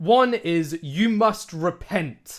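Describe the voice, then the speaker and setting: A man's lively, British-accented delivery on a very clean recording with a silent background. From UK. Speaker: podcast co-host. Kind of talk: casual chat; reading aloud. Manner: animated.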